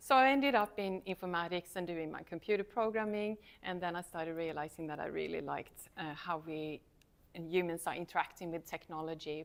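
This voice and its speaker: With a fairly low pitch and ordinary pitch variation, a woman talks at a fairly quick pace, her loudness swinging widely. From Sweden. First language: Swedish. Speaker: university lecturer. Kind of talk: talk to students.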